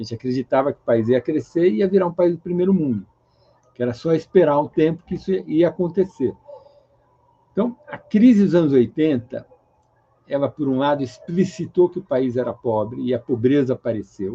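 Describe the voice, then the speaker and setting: Here a man uses an ordinary speaking voice, pitched fairly high. He keeps a moderate pace with lively intonation. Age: 60s. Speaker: economist. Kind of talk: interview.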